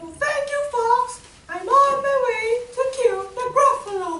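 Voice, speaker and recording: A put-on character voice, squeaky and extremely high in pitch, moves at a fairly slow pace. There is a slight echo. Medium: stage play. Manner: bold, boastful.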